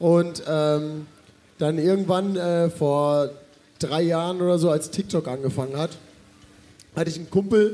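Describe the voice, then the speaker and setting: With audible room echo, a high-pitched man speaks at a fairly slow pace, with long, frequent pauses and fairly even intonation. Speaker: festival MC and social media creator. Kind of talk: live podcast chat on stage. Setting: stage with audience.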